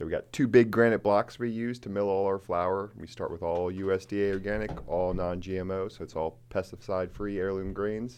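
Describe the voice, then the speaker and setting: Using an ordinary speaking voice, the speaker keeps a moderate pace with fairly even intonation and hardly any pauses. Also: man, fairly low pitch for a man. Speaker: distillery co-owner. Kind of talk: casual chat. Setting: studio.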